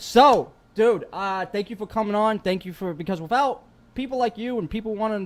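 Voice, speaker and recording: In a New York accent, a man talks at a moderate pace with a high pitch. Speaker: podcast host. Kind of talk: casual chat. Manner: animated.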